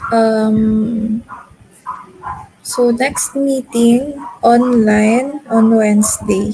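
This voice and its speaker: Pausing long and often, a woman with a fairly high pitch speaks very slowly with fairly even intonation against noticeable background noise. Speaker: chemistry teacher. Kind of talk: lecture.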